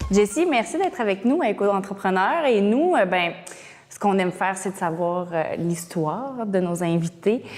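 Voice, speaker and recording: With music in the background, a woman speaks with lively intonation and big swings in loudness. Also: medium pitch for a woman, moderate pace. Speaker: interviewer. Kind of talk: interview.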